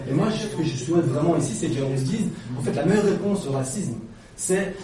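Lively intonation carries the very fast speech, heard through noticeable background noise and audible room echo. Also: man. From Belgium. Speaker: audience member in debate. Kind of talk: open discussion. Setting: debate room with audience.

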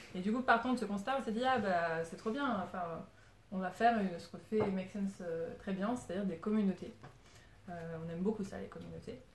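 The speaker moves at a fairly quick pace with big swings in loudness and ordinary pitch variation, over noticeable background noise. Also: woman, medium pitch for a woman. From Paris suburbs, France. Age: 30s. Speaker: community organiser and podcast producer. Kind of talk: informal talk to a group.

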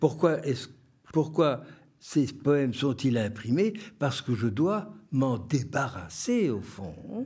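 A man speaks at a medium pitch and a very slow pace. His voice is somewhat breathy, with very wide pitch swings. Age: 80s+. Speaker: poet. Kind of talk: interview. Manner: halting.

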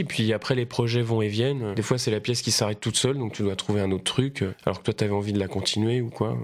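A man speaks at medium pitch and a fairly quick pace with hardly any pauses and ordinary pitch variation, on a very clean recording with a silent background. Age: 30s. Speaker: actor. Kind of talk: casual interview chat. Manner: halting, many fillers and repeats.

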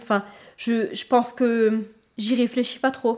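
A woman speaks in an ordinary speaking voice with a fairly high pitch. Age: 30s. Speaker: nursing assistant in a care home. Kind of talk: documentary interview.

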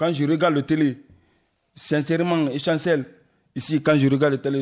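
The speaker is a man. His pitch is fairly high. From Guinea. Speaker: asylum seeker, radio workshop participant. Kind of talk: discussion.

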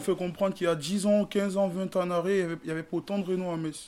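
A man's high-pitched voice with a dark, mellow tone, fairly quick pace and monotone, flat intonation. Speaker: local resident. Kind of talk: casual chat.

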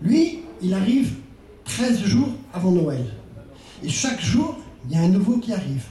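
The speech comes at a fairly slow pace with very wide pitch swings and long, frequent pauses. Noticeable background noise and audible room echo fill the recording. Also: man, high pitch for a man. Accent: Breton. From Brittany, France. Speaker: storyteller. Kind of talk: storytelling to a live audience. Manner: expressive, with rhythmic repetition.

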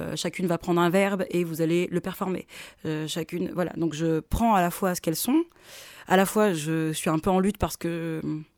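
Using a normal speaking voice, a woman with a fairly low pitch talks at a moderate pace with fairly even intonation, in a dry, close sound with no echo and a very clean recording with a silent background. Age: 30s. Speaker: theatre director. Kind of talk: interview.

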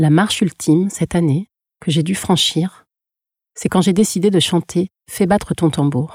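The woman's voice is fairly low-pitched and somewhat breathy, with fairly even intonation and very even loudness. She speaks at a fairly slow pace, and the sound is dry and close with no echo. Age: 40s. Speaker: podcast producer and singing student. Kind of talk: scripted narration.

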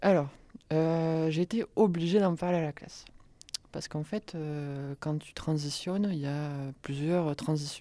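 A woman's dark, mellow tone and very deep, low pitch, fairly even intonation, a fairly slow pace with long, frequent pauses and big swings in loudness. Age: 20s. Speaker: student. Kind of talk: testimony.

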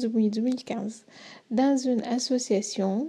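A woman with a high pitch speaks very slowly in a dark, mellow tone with fairly even intonation. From Syria. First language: Arabic (speaking French). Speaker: humanitarian worker. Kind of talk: radio interview.

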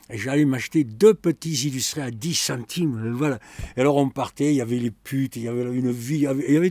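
A man's dark, mellow voice at medium pitch, with ordinary pitch variation and a dry, close sound with no echo. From France, Bordeaux. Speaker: secondhand bookseller. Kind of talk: oral history interview. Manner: halting.

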